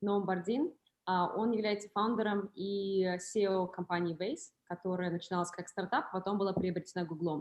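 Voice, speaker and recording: A woman talks at a very fast pace. Her pitch is medium. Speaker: moderator and interpreter. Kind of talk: hosting a live Q&A talk.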